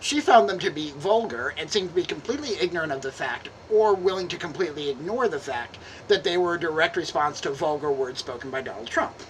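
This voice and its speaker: A woman's fairly low voice at a very fast pace, with lively intonation and noticeable background noise. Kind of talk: dramatic reading of a letter.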